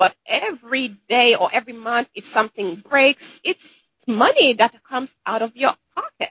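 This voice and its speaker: A woman with a Caribbean accent speaks at a moderate pace in a fairly high pitch. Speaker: dentist and author. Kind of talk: casual interview chat.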